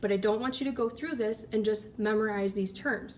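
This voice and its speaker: Speaking in a plain, everyday voice, a woman keeps a medium pitch and fairly even intonation. Her pace is fairly quick. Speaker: anatomy lab instructor. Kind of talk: tutorial.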